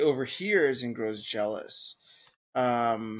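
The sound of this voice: An unforced reading voice with lively intonation, over a quiet background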